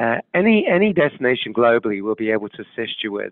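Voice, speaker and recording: A man with a British accent talks fairly quickly. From UK. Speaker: travel tour operator. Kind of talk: webcast presentation. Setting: studio.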